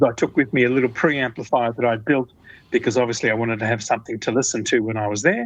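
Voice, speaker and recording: Speaking very fast with an Australian accent, a man keeps a medium pitch and fairly even intonation over a quiet background. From Australia, Melbourne. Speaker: hi-fi designer. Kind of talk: interview. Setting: phone call. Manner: halting.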